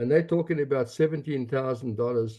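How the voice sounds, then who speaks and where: A man with a medium-pitched voice speaks with fairly even intonation. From South Africa. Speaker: advocacy group leader. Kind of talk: meeting comment.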